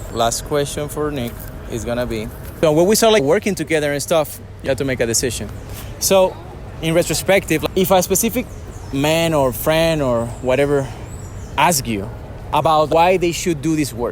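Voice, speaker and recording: Over noticeable background noise, a man with a fairly high pitch talks with lively intonation and long, frequent pauses. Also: moderate pace. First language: not English. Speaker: dating coach. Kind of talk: interview. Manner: casual.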